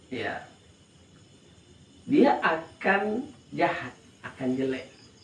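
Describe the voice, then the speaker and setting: In a room with audible echo and noticeable background noise, a man speaks very slowly at a high pitch with very wide pitch swings. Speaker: Islamic religious teacher. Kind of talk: religious study lecture. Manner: slow, relaxed; repetitive, explanatory.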